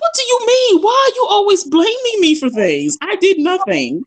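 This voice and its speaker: A put-on character voice from a woman, extremely high and squeaky, with very wide pitch swings at a moderate pace. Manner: defensive, indignant.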